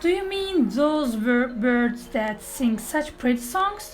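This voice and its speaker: Someone talks in a put-on character voice at a fairly slow pace. Background noise is clearly audible. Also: woman, high pitch for a woman. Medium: read story. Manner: loud, hearty.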